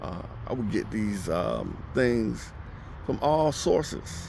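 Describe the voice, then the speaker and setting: There is audible room echo as a man with an American accent speaks at a very slow pace. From United States. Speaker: ESL teacher. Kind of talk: casual monologue. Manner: halting, many fillers.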